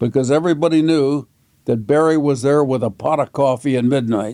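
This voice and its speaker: A man with a dark, mellow tone and a fairly high pitch talks at a moderate pace. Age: 80s+. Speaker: lawyer and Vietnam veteran. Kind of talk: interview.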